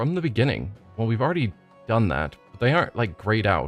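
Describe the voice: Lively intonation marks this plain reading aloud.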